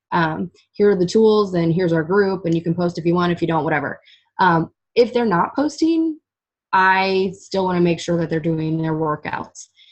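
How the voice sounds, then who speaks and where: A woman with a fairly low pitch, ordinary pitch variation, a moderate pace and an ordinary speaking voice. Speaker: fitness coach. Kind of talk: casual chat. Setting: group call.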